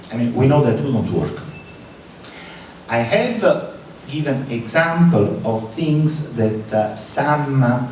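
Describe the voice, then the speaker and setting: Lively intonation at a very slow pace, with audible room echo and noticeable background noise. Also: man. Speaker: conference speaker, physicist and computer scientist. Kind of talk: conference talk. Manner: hesitant, many filler words.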